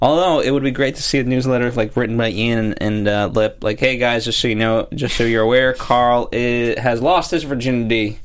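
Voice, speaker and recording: Against noticeable background noise, a man of medium pitch speaks at a fairly quick pace with hardly any pauses, very even loudness and fairly even intonation. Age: 20s. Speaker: TV aftershow podcast co-host. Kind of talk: casual chat.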